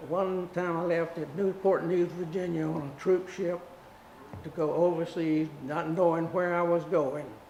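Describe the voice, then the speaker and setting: Noticeable background noise sits behind a man with an American accent who speaks fairly slowly at a high pitch, his intonation monotone and flat. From South Carolina. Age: 80s+. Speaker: war veteran. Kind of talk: interview testimony.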